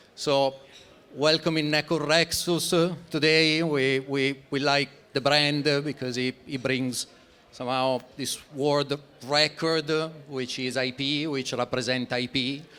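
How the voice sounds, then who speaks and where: In an Italian accent, a man with a fairly high pitch and a bright, sharp tone speaks at a fairly slow pace with monotone, flat intonation. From Italy. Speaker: startup founder presenting project. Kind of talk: conference presentation. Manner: halting, many fillers.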